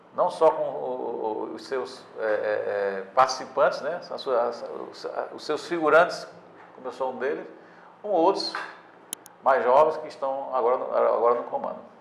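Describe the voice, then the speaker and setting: A man talks with long, frequent pauses and big swings in loudness, amid noticeable background noise and audible room echo. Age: 60s. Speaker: sports newspaper editor. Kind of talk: interview. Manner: halting, many repetitions and fillers.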